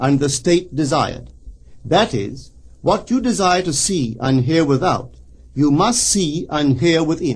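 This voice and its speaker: Lively intonation marks this man's speech, delivered at a fairly slow pace. It is a normal speaking voice. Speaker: metaphysical lecturer. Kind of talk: recorded spiritual lecture.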